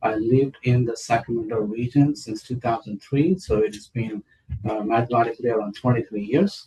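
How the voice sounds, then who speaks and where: A dark, mellow tone, somewhat breathy, with ordinary pitch variation and a fairly quick pace. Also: man, medium pitch for a man. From India. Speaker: city council candidate. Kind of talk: interview. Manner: hesitant, many fillers.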